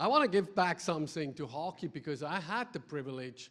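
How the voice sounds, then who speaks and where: A man with a Swiss German accent speaks at a fairly quick pace, his fairly high voice moving with lively intonation. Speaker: ice hockey development director. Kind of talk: conference presentation. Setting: stage with audience. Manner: energetic; halting, many fillers.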